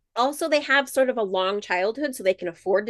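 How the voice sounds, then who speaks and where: With an American accent and lively intonation, a woman has an unremarkable speaking voice captured in a dry, close sound with no echo. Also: quiet background. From rural South Dakota and Montana, US. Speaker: gorilla researcher. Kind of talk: interview for kids, science explanations.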